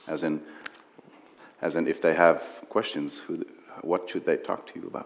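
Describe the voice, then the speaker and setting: Speaking at a moderate pace with a Dutch accent, a man swings widely in loudness and leaves long, frequent pauses. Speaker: interviewer. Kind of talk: on-stage interview. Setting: stage with audience.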